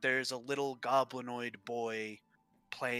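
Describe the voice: Fairly even intonation holds throughout. The delivery is plain reading aloud.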